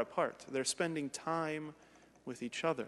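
At a fairly slow pace, a man is speaking. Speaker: priest. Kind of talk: sermon. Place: church.

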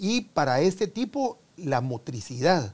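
The man's voice is somewhat breathy. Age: 70s. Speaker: sports medicine doctor; guest. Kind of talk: interview. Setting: studio. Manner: halting. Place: studio. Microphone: lapel.

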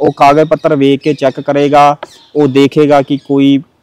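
A man talks in a dry recording that carries no echo. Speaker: interview guest. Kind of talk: interview answer. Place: garden. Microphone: lapel.

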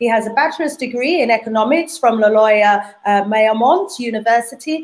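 Speaking in a British accent at a moderate pace, a woman uses a high pitch with very wide pitch swings. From UK. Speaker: talk show host. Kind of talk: live panel talk show. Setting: video call. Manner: warm and animated. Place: home room.

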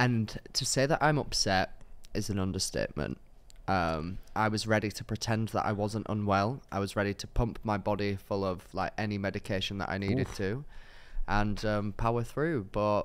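A man's fairly low pitch carries through a normal speaking voice at a moderate pace. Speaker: podcast host. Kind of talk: casual podcast chat. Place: studio. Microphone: studio mic.

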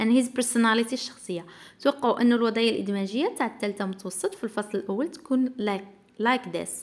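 The speaker has an Algerian accent and talks at a fairly quick pace. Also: woman. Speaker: English teacher. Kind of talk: tutorial.

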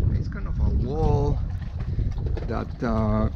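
Amid loud background noise, a man speaks at a very slow pace in a dry sound with no echo. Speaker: sailor vlogger. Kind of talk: casual vlog narration. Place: waterside. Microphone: phone near.

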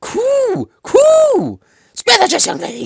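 This put-on character voice sits at an extremely high pitch. The delivery moves at a very slow pace. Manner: cooing.

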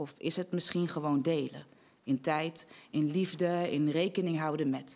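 The woman speaks at a fairly slow pace. Her intonation stays fairly even. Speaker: spoken word poet. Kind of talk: spoken word poetry performance. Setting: online congress recording. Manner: rhythmic, rhetorical, measured delivery; earnest, impassioned. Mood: earnest, measured, heartfelt. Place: studio. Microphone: studio mic.

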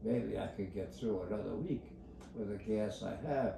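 A fairly low-pitched man at a moderate pace, with audible room echo and noticeable background noise. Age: 80s+. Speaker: elderly man talking about his routine. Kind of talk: casual rambling talk. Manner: rambling, repetitive. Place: home room. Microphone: phone near.

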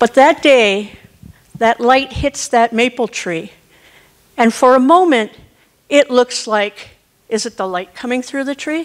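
Woman's high pitch with ordinary pitch variation and long, frequent pauses over a quiet background. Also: fairly slow pace. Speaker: corporate trainer. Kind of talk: guided group exercise. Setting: stage with audience. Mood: warm, reflective. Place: stage. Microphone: handheld.

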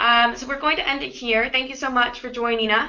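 A woman speaks with fairly even intonation. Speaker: webinar host, business development lead; webinar host. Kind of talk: webinar moderation. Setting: online webinar call. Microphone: video call.

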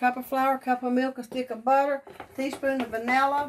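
High-pitched woman's voice at a moderate pace, with light background noise. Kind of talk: casual cooking tutorial chat. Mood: warm, grateful, nostalgic. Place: kitchen. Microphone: phone near.

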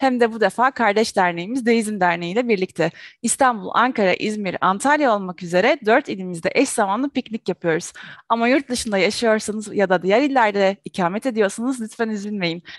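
Against a quiet background, a woman speaks at a fairly quick pace with ordinary pitch variation. The sound is dry with no echo. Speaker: show host. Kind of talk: announcements to viewers. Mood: cheerful. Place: home room. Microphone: headset.

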